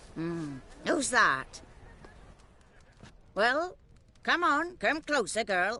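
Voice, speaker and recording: A put-on character voice, fairly high in pitch, moves at a very slow pace. It has very wide pitch swings and long, frequent pauses. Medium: video game. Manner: gruff, mocking.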